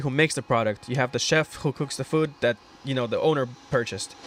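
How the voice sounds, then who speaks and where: The man talks at a very fast pace. Noticeable background noise runs under his voice. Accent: Russian. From Russia. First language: Russian. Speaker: aspiring real estate investor. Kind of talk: casual chat.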